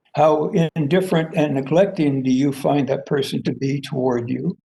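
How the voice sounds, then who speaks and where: A man speaks at a moderate pace with a dark, mellow, somewhat breathy tone. His pitch is fairly high, and it varies an ordinary amount. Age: 80s+. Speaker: professor and theory founder. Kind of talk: lecture. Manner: halting, many fillers.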